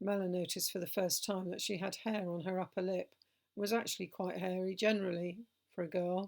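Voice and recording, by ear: The text is read aloud in a natural voice, with a quiet background behind it.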